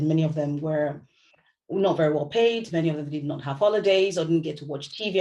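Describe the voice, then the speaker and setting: A woman with a Yoruba accent, a very deep, low pitch, a dark, mellow tone, ordinary pitch variation and a fairly quick pace. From Nigeria, Lagos. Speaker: novelist. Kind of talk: book club talk. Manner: conversational, with hesitations.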